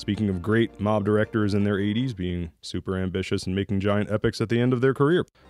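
Against background music, a man talks at a very fast pace in a fairly low pitch. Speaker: voice actor. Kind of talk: casual talk to camera.

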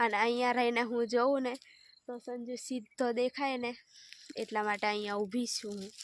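Her voice is high in pitch, and this woman speaks with monotone, flat intonation. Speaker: farm vlogger. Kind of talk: casual vlog narration. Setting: outdoors on a farm.

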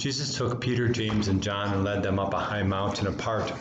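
A man's fairly low voice at a moderate pace with fairly even intonation, over noticeable background noise. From United States. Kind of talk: homily delivered in church. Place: home room. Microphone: webcam.

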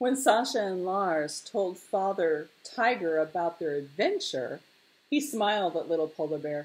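Someone does plain reading aloud. The pitch moves in a lively way.

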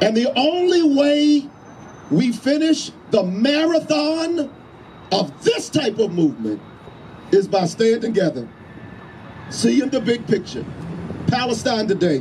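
A man speaks at a fairly slow pace with an animated tone. Long, frequent pauses break up his words over light background noise. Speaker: preacher. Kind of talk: rally speech. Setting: outdoor rally. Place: street. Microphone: handheld.

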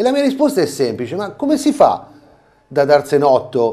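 The tone is dark and mellow, with lively intonation. Delivery moves at a moderate pace. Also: man. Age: 50s. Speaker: carnival mask performer and theatre director; TV guest. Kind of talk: interview; interview answer. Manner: halting. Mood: earnest, explaining. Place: studio. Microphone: lapel.

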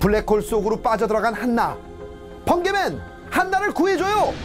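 Over music in the background, a man speaks at a moderate pace in an extremely high pitch with very wide pitch swings. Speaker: TV entertainer presenter. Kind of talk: movie highlight narration. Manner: upbeat.

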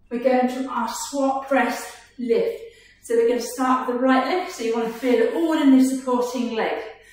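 Against strong room echo, a woman speaks at a moderate pace in a high pitch. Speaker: fitness instructor. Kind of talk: workout instruction. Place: gym.

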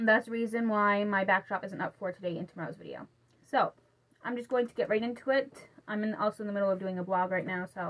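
This is an unforced reading voice. The reading sounds unforced.

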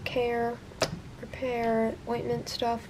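A woman is speaking. There is light noise in the background. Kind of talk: casual haul vlog. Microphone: phone near.

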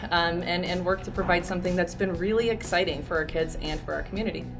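A woman talks at a very fast pace in a flat, monotone delivery with a fairly low pitch. Clear music sounds in the background. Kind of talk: interview answer. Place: hall.

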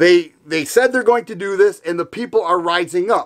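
Over a quiet background, a man with an American accent talks at a moderate pace with ordinary pitch variation. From Michigan. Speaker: gun YouTuber. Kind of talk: political commentary in a video, rally-support speech. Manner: earnest, fired-up, indignant. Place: home room.

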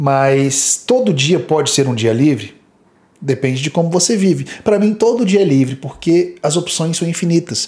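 The tone is dark and mellow, the intonation lively, and the pace moderate. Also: man, fairly high pitch for a man. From Brazil. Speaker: fitness youtuber. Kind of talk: video commentary. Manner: animated. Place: home room. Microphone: studio mic.

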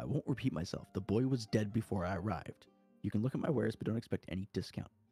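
Putting on a gruff, growling character voice at a fairly low pitch, a man talks at a very fast pace over faint background music. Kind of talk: curt, businesslike. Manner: growling, gruff.

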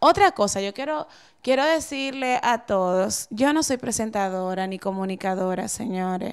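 A woman talks with a Dominican accent at a moderate pace. The background is quiet. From Dominican Republic. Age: 30s. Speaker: TV presenter and model; TV presenter. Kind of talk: interview. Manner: halting. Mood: earnest, explaining herself. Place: office. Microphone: handheld.

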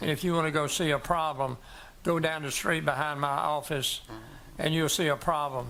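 A man with a South Carolina accent speaks at a moderate pace in a fairly high, bright and sharp voice with monotone, flat intonation. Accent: South Carolina Southern. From US South. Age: 80s+. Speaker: doctor speaking at public hearing. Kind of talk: public comment at a planning commission meeting.

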